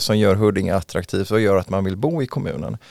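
A man with an ordinary speaking voice talks at a fairly quick pace and fairly low pitch. The sound is dry and close with no echo. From western Sweden, Mölndal near Gothenburg. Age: 40s. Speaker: local politician. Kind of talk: interview. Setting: studio.

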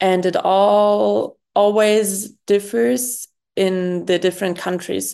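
A woman speaks at a medium pitch with a German accent. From Germany. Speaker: youth organization president. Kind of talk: interview. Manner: hesitant, many fillers.

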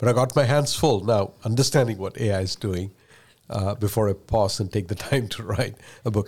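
Somewhat breathy and with a Keralan accent, this voice moves at a fairly quick pace with ordinary pitch variation, on a very clean recording with a silent background. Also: man. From India. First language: Malayalam. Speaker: tech executive. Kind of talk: casual interview.

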